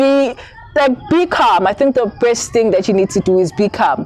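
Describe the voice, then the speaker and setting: A woman with fairly high pitch and ordinary pitch variation speaks at a moderate pace against noticeable background noise. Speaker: candidate attorney, vlogger. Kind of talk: advice vlog. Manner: halting.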